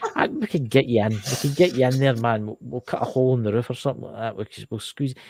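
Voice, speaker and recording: A man with a Scottish Lowland accent talks at a very fast pace with hardly any pauses. His pitch is medium with ordinary variation, his loudness swings a lot, and the sound is dry and close with no echo. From Scotland, lowlands. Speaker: live show host. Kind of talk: casual chat. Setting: livestream with chat. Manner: animated.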